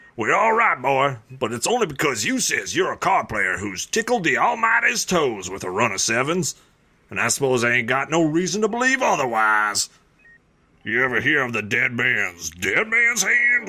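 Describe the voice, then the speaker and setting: A man puts on a character voice with a Southern US accent, at medium pitch and a moderate pace. His pitch swings very widely. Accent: rural Southern drawl. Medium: audio drama. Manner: folksy, gruff, teasing.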